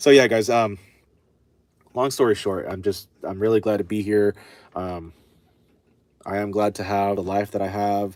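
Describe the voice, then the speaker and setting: A man with a fairly low pitch is speaking. He leaves long, frequent pauses. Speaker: chainsaw repair livestreamer. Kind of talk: casual livestream chat while working. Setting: workshop livestream. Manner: fast when excited.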